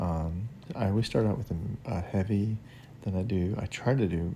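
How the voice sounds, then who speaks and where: A quiet, somewhat breathy man speaks at a very deep, low pitch with ordinary pitch variation and a dark, mellow tone. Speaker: gaming youtuber. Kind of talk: gameplay commentary. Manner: quiet, hushed; hesitant, many fillers.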